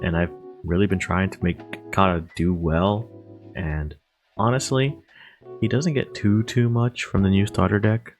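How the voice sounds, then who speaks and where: A man with a very deep, low pitch speaks at a fairly slow pace over music in the background. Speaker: card game content creator. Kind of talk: deck profile talk to camera.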